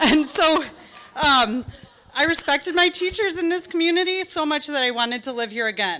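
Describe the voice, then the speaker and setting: With a Michigan accent, a raised, projected voice carries lively intonation over noticeable background noise. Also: woman, high pitch for a woman. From Michigan, Rochester area. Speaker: parent giving public comment, attorney. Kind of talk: public comment speech. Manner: fast.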